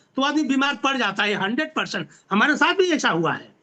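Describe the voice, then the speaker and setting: In a raised, projected voice, a man speaks at an extremely high pitch. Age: 70s. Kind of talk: video interview discussion. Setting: video call.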